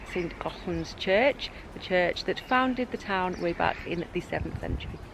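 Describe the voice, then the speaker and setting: A woman with an English accent speaks at a fairly low pitch with ordinary pitch variation, over noticeable background noise. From England. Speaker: travel vlogger. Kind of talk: travel vlog narration. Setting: outdoors.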